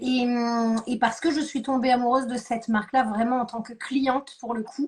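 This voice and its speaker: Her high-pitched voice moves at a moderate pace with fairly even intonation. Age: 40s. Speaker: beauty product seller, former dance teacher. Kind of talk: live stream interview. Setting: online live stream.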